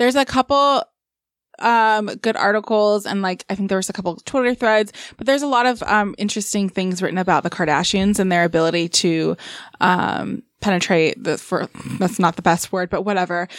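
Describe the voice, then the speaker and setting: A plain, everyday voice talks at a fairly quick pace. The recording is very clean with a silent background, dry and close with no echo. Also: woman, medium pitch for a woman, ordinary pitch variation. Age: 30s. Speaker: podcast guest. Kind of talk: casual chat.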